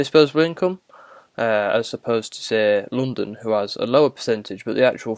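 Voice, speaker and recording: A man talks at a fairly quick pace with a northern English accent. His pitch is medium, with ordinary pitch variation. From northern England. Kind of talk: casual monologue answering a prompt. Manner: halting, many fillers.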